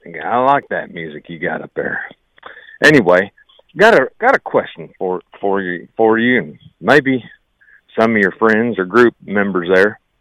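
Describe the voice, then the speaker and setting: A man with an American accent speaks at a fairly slow pace and a medium pitch, leaving long, frequent pauses, his bright, sharp tone swinging widely in loudness in a dry, close recording with no echo. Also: ordinary pitch variation. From Ohio, US. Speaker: school teacher and state government worker, caller. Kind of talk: casual call-in message. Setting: phone call.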